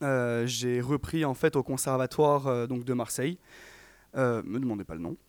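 In a very clean recording with a silent background, a man with an unremarkable speaking voice talks at a moderate pace with ordinary pitch variation, dry and close with no echo. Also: medium pitch for a man. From Provence, France. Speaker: singer, music student. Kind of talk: radio interview. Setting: studio.

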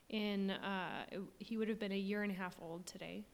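This woman's voice sits at a medium pitch. She talks with monotone, flat intonation. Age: 30s. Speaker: stay-at-home mom and church administrative assistant. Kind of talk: faith podcast conversation, personal testimony of grief. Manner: halting, many fillers.

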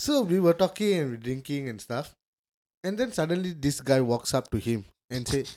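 Lively intonation from a man at a fairly high pitch and moderate pace, music in the background. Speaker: podcast co-host. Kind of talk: casual chat.

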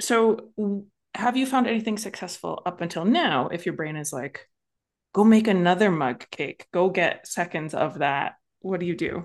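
A woman's plain, everyday voice, medium in pitch and lively in intonation, at a moderate pace over a quiet background. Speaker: coach and podcast host. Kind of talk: coaching conversation.

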